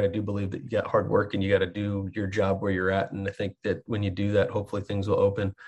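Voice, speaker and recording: Over a quiet background, a man with an American accent talks in a fairly low, somewhat breathy voice. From Texas. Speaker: college soccer coach, former pro player. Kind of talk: podcast interview.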